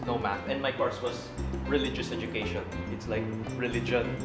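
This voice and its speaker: A man's voice over clear background music. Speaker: cooking show host. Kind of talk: casual interview answer. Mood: playful, joking. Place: kitchen.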